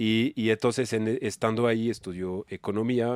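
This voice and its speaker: A man with a strong French accent, medium-pitched and monotone with flat intonation, in a dry, close sound with no echo and a very clean recording with a silent background. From France. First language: French (speaking Spanish). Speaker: nonprofit executive. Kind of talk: casual podcast interview. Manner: casual slangy.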